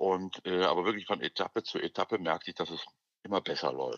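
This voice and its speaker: A man talks at a fairly quick pace with lively intonation. His voice has vocal fry. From Ruhr area, Germany (Gladbeck). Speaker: actor and singer. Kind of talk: interview. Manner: halting, many fillers.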